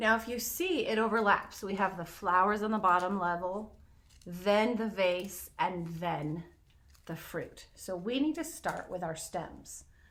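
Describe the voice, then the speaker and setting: This woman speaks at medium pitch with ordinary pitch variation and a fairly slow pace. Audible room echo surrounds her voice. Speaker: art teacher. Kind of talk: tutorial.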